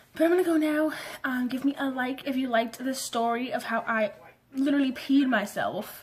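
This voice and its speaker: With ordinary pitch variation, a woman speaks at a high pitch. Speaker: vlogger. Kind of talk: story time vlog. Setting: bedroom. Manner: fast; animated.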